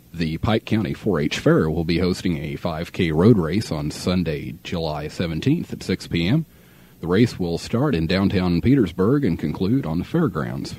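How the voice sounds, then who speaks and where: A man's very deep, low voice with an American accent, dark and mellow in tone, lively in intonation, at a moderate pace, in a dry sound with no echo. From Midwestern US. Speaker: radio announcer. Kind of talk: radio DJ air check; radio announcement reading. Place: studio. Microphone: old recording.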